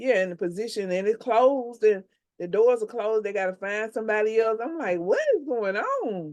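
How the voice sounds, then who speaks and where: A woman talks at a fairly quick pace in a fairly high pitch. Her pitch varies in an ordinary way. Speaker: podcast co-host. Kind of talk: casual chat. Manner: halting.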